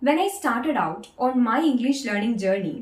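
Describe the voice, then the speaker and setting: Lively intonation in a Keralan accent. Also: woman. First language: Malayalam. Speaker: English-speaking coach. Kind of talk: tutorial.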